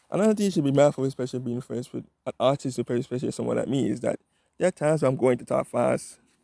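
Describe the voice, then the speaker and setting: Dark and mellow, the voice has a close, dry quality. No echo can be heard. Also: man. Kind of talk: casual vlog monologue. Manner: fast.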